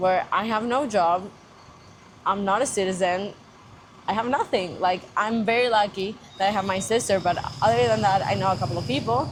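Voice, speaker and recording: A woman's medium-pitched voice with lively intonation, very even loudness, a moderate pace and long, frequent pauses, over noticeable background noise. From Spain. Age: 20s. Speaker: marketing intern. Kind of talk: casual chat.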